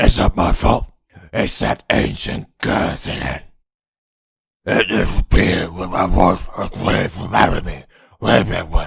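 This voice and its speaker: In a put-on character voice, the speaker mumbles in a raspy way at a fairly slow pace, leaving long, frequent pauses. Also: man, very deep, low pitch for a man. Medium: dub. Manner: mumbled, hard to understand.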